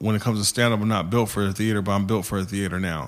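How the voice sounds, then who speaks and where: A man's normal speaking voice, fairly low in pitch, with an American accent and fairly even intonation. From US, San Antonio, Texas. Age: 30s. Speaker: stand-up comedian. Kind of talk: casual interview chat.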